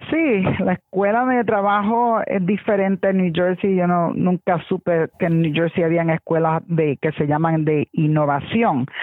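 Here is a woman with a normal speaking voice and a fairly low pitch. She goes at a fairly slow pace with ordinary pitch variation. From New York, Puerto Rican family. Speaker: school administrator, science educator. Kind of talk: interview.

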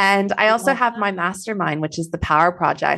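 Against a quiet background, a woman with a slight Texan accent speaks with fairly even intonation. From Texas. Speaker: business coach. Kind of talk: podcast interview.

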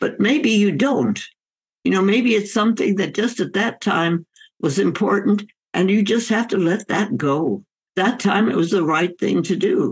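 A woman speaks at a moderate pace in a medium pitch. Her voice is somewhat breathy. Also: ordinary pitch variation. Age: 100s. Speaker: physician and author. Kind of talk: interview.

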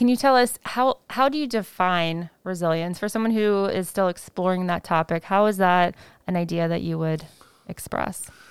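At a moderate pace, a normal speaking voice with ordinary pitch variation comes across dry and close, with no echo. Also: woman. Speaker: podcast host. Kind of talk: interview.

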